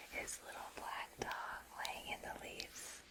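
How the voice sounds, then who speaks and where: A woman whispers in a gentle tone at a very slow pace. Noticeable background noise can be heard. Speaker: teacher, ASMR creator. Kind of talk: soft storybook read-aloud. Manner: soft-spoken, gentle, slow.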